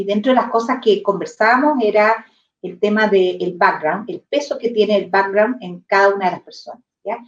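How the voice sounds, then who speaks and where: A woman speaks at a fairly high pitch and a fairly slow pace. Her pitch varies in an ordinary way. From southern Chile, near Temuco. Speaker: real estate executive. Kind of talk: interview conversation. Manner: halting, many repetitions.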